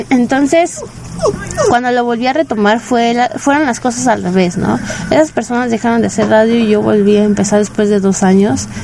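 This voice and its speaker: A woman's fairly high-pitched voice, with ordinary pitch variation, is heard against noticeable background noise. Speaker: internet radio host for anime. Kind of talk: casual radio monologue. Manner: normally loud and shouty; quieter than usual, saving voice.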